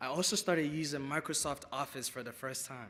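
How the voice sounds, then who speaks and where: Fairly quick and fairly even in intonation, a man with an American accent speaks in a fairly high voice with a bright, sharp tone. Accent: Nigerian English, shifting toward American. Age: young. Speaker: featured speaker, young immigrant. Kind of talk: speech to luncheon audience. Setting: stage with audience.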